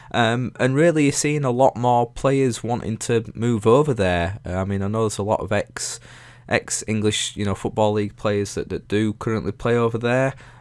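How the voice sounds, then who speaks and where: At a medium pitch and moderate pace, a man talks with ordinary pitch variation on a very clean recording with a silent background. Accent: Yorkshire. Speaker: YouTuber. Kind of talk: casual Q&A monologue. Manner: halting, many fillers.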